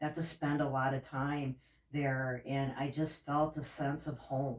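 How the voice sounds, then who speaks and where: A woman speaks with a very deep, low pitch. Her pace is fairly slow and her intonation flat and monotone. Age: 50s. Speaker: podcast host. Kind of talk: interview.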